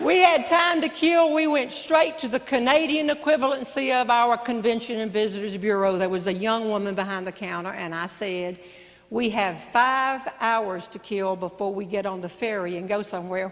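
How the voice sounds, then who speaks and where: A woman with a fairly high pitch and lively intonation speaks at a moderate pace amid audible room echo. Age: 60s. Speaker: comedian. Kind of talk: stand-up. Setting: stage with audience.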